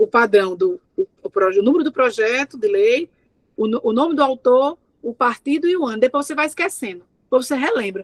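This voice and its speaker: A woman speaks at a fairly quick pace in a high pitch with lively intonation, recorded in a dry, close sound with no echo. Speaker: thesis examiner. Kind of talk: academic feedback at a thesis defense. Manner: fast.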